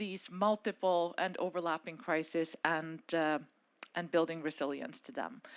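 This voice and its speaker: In a very clean recording with a silent background, a woman speaks loudly at a fairly slow pace. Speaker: panel moderator, policy advisor. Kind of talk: conference panel moderation. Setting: conference stage with audience and microphone.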